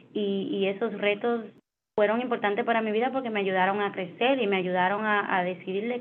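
Here a woman talks at a fairly quick pace in a medium pitch. Her intonation stays fairly even. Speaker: finance executive. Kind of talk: interview. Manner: halting, many fillers.

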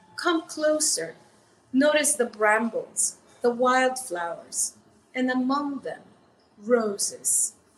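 With music in the background, a woman speaks at a high pitch with lively intonation, at a very slow pace broken by long, frequent pauses. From El Salvador. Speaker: poet. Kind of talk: poetry reading. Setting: stage with audience.

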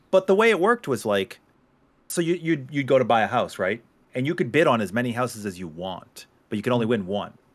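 A man talks at a very fast pace with a slight Boston accent. His pitch sits in the middle and swings very widely. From Boston area, US. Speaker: gaming streamer. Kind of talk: casual chat. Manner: joking, goofy.

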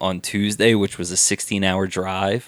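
On a very clean recording with a silent background, a man with a Philadelphia accent speaks at a fairly slow pace in a fairly low pitch with monotone, flat intonation. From Abington, suburb of Philadelphia. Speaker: real estate developer. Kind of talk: casual chat. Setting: home podcast room.

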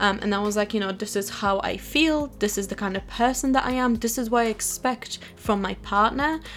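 Speaking at a fairly quick pace with hardly any pauses, a woman with a fairly high pitch and ordinary pitch variation is heard over noticeable background noise. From Poland. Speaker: YouTuber and podcast host. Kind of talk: solo podcast monologue. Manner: talkative, animated.

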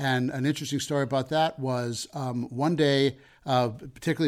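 A man with an American accent talks at a fairly quick pace with fairly even intonation. The recording is very clean, with a silent background. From Colorado, US (Denver). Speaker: comedian and entrepreneur. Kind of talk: interview. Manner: hesitant, many fillers.

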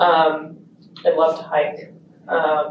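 A woman is speaking amid noticeable background noise. The room echo is audible. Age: 20s. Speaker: equestrian rider. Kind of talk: interview.

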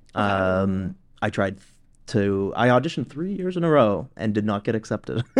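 With a normal speaking voice, a man at a fairly low pitch uses lively intonation at a moderate pace against a quiet background. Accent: Canadian. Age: 30s. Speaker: professional touring drummer. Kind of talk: casual interview chat.

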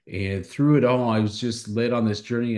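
A man with a normal speaking voice, medium pitch and a fairly quick pace, over a quiet background. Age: 50s. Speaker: company CEO and author. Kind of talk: interview.

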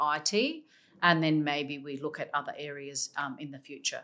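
The speaker is a woman with an Australian accent. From South Australia, from a Macedonian migrant family. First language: Macedonian. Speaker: senior public sector executive. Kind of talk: interview.

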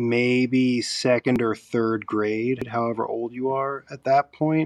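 A man speaks in a normal speaking voice at a fairly slow pace with ordinary pitch variation. The sound is dry and close, with no echo. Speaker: tattoo artist. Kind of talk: casual interview chat.

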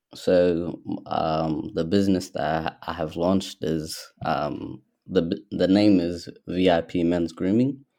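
Very slow and fairly even in intonation, a man with an Australian accent speaks in a very deep, low pitch with a dark, mellow tone. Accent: Australian, some hear it as American. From Ethiopia, Somali background, in Australia since age 10. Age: 20s. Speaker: young business owner. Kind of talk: casual interview. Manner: hesitant, many fillers.

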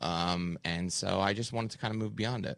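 He has an unremarkable speaking voice and fairly low pitch. The man speaks at a moderate pace. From Canada. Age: 30s. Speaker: comedian, podcaster and author. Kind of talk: interview.

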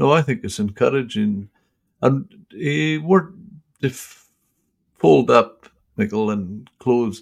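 In a Scottish accent, a man at medium pitch talks at a very slow pace with lively intonation and long, frequent pauses. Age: 70s. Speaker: podcast host. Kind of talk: interview.

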